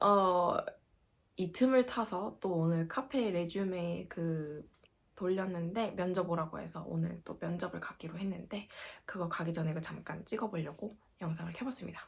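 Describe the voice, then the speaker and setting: Somewhat breathy and animated, a woman speaks at a moderate pace with a fairly low pitch and ordinary pitch variation. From South Korea, Gangwon Province. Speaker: working holiday vlogger. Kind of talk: casual vlog.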